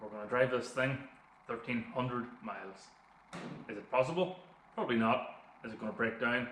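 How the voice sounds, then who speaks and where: A man in a Northern Irish accent at a fairly quick pace, with long, frequent pauses, big swings in loudness, ordinary pitch variation and audible room echo. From Northern Ireland. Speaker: car YouTuber. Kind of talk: vlog narration. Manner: casual.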